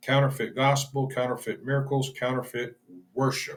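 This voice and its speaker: At a moderate pace, a man speaks in a fairly high, somewhat breathy voice. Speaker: bible study teacher. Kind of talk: bible study lecture. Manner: halting, stumbles over words; informal, unscripted.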